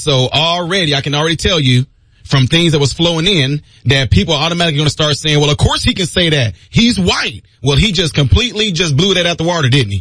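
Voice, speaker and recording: A man's fairly high, bright, sharp voice at a fairly quick pace, animated in tone with lively intonation. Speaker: radio talk show host. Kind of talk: talk radio monologue. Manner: fast.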